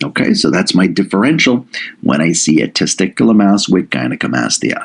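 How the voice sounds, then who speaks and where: A man speaks at a moderate pace in an animated tone. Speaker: medical lecturer. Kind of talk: lecture.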